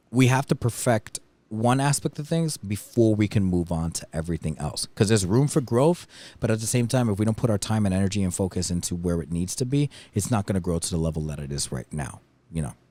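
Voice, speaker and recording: A very fast man's voice in an American accent, fairly low-pitched with very wide pitch swings and a dark, mellow tone, on a very clean recording with a silent background. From New York City. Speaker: DJ and talent agency co-owner. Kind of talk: casual chat. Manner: halting, many fillers and restarts.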